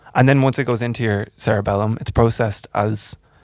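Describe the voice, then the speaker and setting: Fairly low-pitched man with an Irish accent, vocal fry and fairly even intonation, on a very clean recording with a silent background. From Ireland. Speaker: podcast host. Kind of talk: casual interview.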